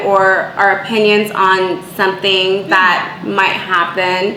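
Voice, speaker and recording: A woman talks in a space with audible room echo, with noticeable background noise also present. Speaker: podcast co-host. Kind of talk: casual chat. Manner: loud.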